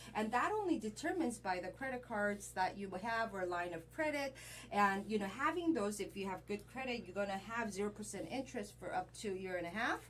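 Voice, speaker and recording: With a Korean accent, the speaker moves at a fairly quick pace, with lively intonation and hardly any pauses. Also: woman, medium pitch for a woman. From Korea, moved to US at twelve. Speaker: credit repair specialist. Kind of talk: interview conversation.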